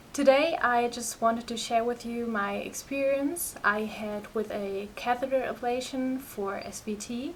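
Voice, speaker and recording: A woman with a German accent speaks at a fairly slow pace and fairly high pitch, with ordinary pitch variation, hardly any pauses and big swings in loudness, over noticeable background noise. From Germany. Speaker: patient sharing health experience. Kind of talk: personal vlog testimony. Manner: halting, many fillers.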